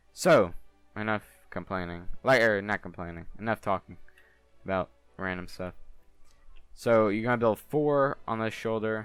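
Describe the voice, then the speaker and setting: A man's fairly low voice at a moderate pace, with long, frequent pauses and music in the background. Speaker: gaming youtuber. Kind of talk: tutorial. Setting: home. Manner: monotone; halting.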